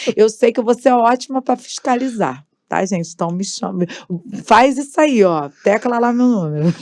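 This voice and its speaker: With lively intonation, a woman talks at a moderate pace in a normal speaking voice, pitched fairly high. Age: 40s. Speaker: gospel singer and political candidate. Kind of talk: podcast interview.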